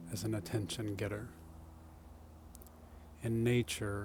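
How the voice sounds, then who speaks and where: Soft-spoken, a man talks with fairly even intonation and vocal fry. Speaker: self-growth speaker. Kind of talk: ASMR soft-spoken reflection. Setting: outdoors.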